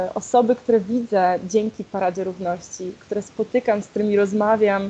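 Here a woman speaks in an unremarkable speaking voice at medium pitch. Her pace is moderate and her intonation fairly even. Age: 20s. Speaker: LGBTQ+ activist, equality march organizer. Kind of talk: interview.

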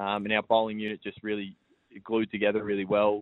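With an Australian accent, a man speaks at a fairly quick pace in a monotone, flat intonation. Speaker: professional cricketer. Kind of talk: radio interview.

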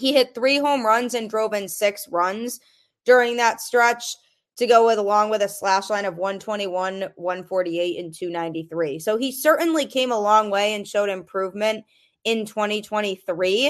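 A woman with a plain, everyday voice speaks at a moderate pace, fairly high in pitch with ordinary pitch variation, over a quiet background. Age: adult. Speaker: sports podcast host. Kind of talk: solo sports podcast commentary.

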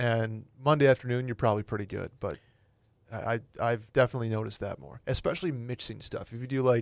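Recorded very cleanly against a silent background, a man talks at a fairly quick pace, his medium pitch held in fairly even intonation. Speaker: podcast co-host. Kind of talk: casual chat. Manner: subdued.

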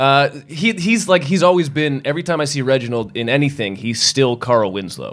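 A man speaks quickly with hardly any pauses, in a plain, everyday voice with an American accent. His pitch sits fairly high and his intonation is lively. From Massachusetts. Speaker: podcast guest. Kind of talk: casual chat.

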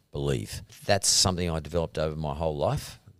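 An Australian accent at a moderate pace, ordinary pitch variation and a very clean recording with a silent background. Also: man. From Sydney, Australia (Punchbowl). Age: 60s. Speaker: entrepreneur. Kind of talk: interview. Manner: hesitant with fillers.

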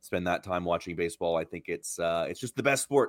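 Very deep and low in pitch, a man talks at a very fast pace with ordinary pitch variation, the sound dry and close with no echo on a very clean recording with a silent background. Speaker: baseball blogger, podcast guest. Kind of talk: casual sports chat, analysis.

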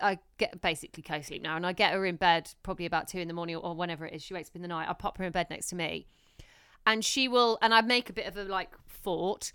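Very fast speech from a woman of medium pitch, bright and sharp in tone, with ordinary pitch variation on a very clean recording with a silent background. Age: 30s. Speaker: podcast host and new mum. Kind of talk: casual chat. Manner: chatty, laughs often.

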